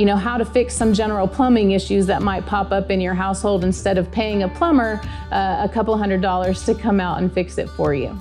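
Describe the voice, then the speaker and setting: A woman at a fairly quick pace with hardly any pauses, clear music in the background. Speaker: agriculture mechanics teacher. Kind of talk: interview answer. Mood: warm, enthusiastic. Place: workshop.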